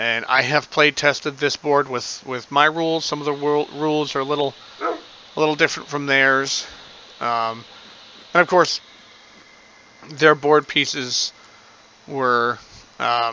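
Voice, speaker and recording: Noticeable background noise behind a man's fairly high-pitched, fairly even voice, with long, frequent pauses. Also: fairly slow pace. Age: adult. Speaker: gaming video creator. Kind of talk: gameplay commentary. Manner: hesitant, many fillers.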